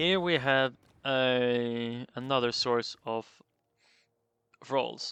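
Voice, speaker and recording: A mumbled delivery at a very slow pace, broken by long, frequent pauses. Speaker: gaming video creator. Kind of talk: gameplay commentary. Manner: mumbling; halting.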